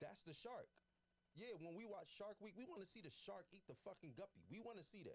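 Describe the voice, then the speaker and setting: Animated and lively in intonation, a man talks at a fairly quick pace in a high pitch. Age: 30s. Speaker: podcast guest. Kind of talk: casual chat.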